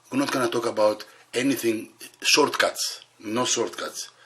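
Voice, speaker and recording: A man speaks over noticeable background noise. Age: 70s. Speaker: bodybuilder and video host. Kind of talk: casual vlog talk to camera. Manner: halting.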